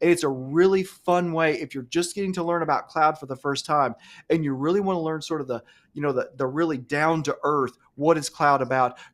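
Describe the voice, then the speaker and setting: Animated in tone, a man with an Alabama accent talks at a fairly quick pace and a fairly high pitch. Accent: Southern US (Alabama). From US South, Alabama. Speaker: cloud computing instructor. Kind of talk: live-streamed webinar chat. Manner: fast.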